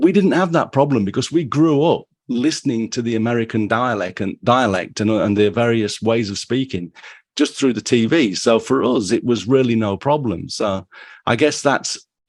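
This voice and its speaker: The speaker has an English accent and ordinary pitch variation at a moderate pace. The background is quiet. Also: man. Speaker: photography podcast host. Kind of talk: casual interview.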